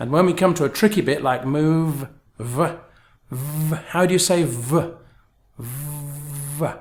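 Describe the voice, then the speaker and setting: A somewhat breathy, fairly high-pitched male voice at a very slow pace, with ordinary pitch variation. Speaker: English pronunciation teacher. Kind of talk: tutorial.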